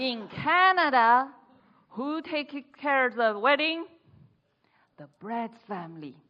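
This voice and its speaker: A woman speaks with a Chinese accent. Her pace is very slow. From China. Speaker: speech contestant. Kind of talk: humorous speech.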